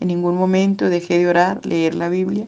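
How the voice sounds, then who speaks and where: A woman's fairly low, dark, mellow voice with fairly even intonation at a moderate pace. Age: 60s. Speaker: church member giving testimony. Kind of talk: testimony. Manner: formal.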